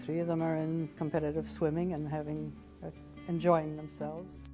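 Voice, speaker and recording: Music is playing behind the voice. A woman talks at a moderate pace. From Canada. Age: 60s. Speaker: retired government administrator. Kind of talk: interview answer.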